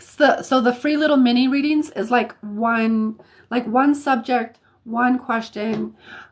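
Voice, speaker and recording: A somewhat breathy woman with an American accent, a fairly slow pace and ordinary pitch variation. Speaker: psychic reader and healer. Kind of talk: live stream readings. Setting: live stream. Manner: casual, halting with many fillers.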